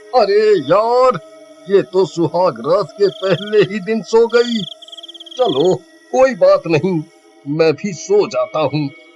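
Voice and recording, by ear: A man puts on a high-pitched character voice, speaking at a fairly slow pace. He leaves long, frequent pauses while music plays in the background.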